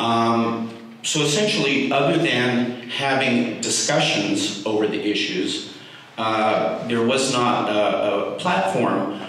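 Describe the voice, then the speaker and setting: A man of medium pitch is heard with strong room echo and light background noise. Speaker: speaker supporting endorsement. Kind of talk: public comment speech. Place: meeting room.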